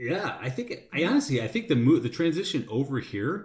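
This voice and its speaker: A man with an American accent speaks in a somewhat breathy voice with lively intonation. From US Midwest, Chicago suburbs. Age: 40s. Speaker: expat guest. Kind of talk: casual chat. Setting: studio. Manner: halting, many fillers.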